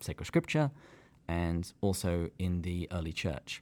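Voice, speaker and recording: Speaking with an English accent, a man uses a very deep, low pitch and fairly even intonation. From England. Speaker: podcast co-host. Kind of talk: casual chat.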